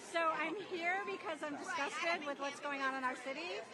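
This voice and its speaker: A woman speaks in a raised, projected voice with a high pitch and ordinary pitch variation. Crowd noise sits in the background, and the room echo is audible. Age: 60s. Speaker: therapist, protester. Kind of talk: street interview. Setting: outdoors at a protest march.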